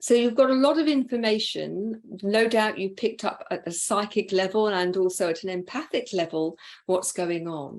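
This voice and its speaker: A woman with a normal speaking voice talks at medium pitch and a moderate pace. Her intonation is lively, and the recording is very clean with a silent background. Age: 60s. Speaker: interview host and coach. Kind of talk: interview conversation.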